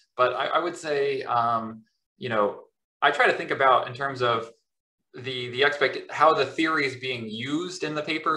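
A bright, sharp tone with ordinary pitch variation. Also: man. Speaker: professor. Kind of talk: academic interview and Q&A. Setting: video call. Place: home room. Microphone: webcam.

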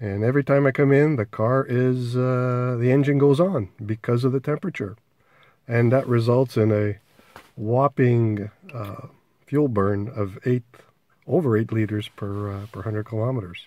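The sound is dry, with no echo. A man speaks at a moderate pace and ordinary pitch variation. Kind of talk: casual demonstration commentary. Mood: mildly frustrated. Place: car. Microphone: phone near.

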